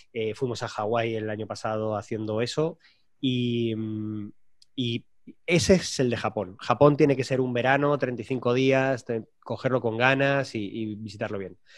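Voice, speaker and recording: Against a quiet background, a man with an unremarkable speaking voice talks at a fairly slow pace. His pitch is medium and his intonation fairly even. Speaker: frequent business traveler. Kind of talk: casual chat.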